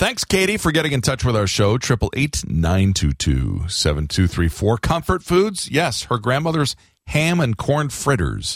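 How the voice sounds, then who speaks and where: With very wide pitch swings and very even loudness, a somewhat breathy man at medium pitch talks at a moderate pace with hardly any pauses, on a very clean recording with a silent background. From Florida. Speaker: radio host. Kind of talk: casual chat. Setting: studio.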